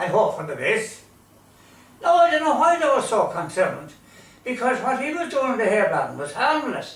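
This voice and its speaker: Over noticeable background noise, a voice in a Limerick accent moves at a moderate pace with very wide pitch swings. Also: man. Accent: Irish, Limerick. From Ireland. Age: 80s+. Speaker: storyteller. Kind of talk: humorous storytelling to an audience.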